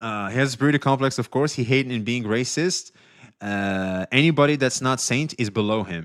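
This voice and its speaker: With a very clean recording and a silent background, a man talks at a fairly quick pace in a medium pitch with ordinary pitch variation. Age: 40s. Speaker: streamer. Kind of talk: casual live stream commentary. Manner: casual, filler-heavy.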